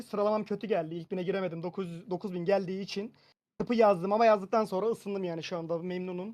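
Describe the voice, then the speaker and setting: A man talks at a very fast pace in a high voice, his intonation fairly even. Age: 20s. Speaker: medical student. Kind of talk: casual chat.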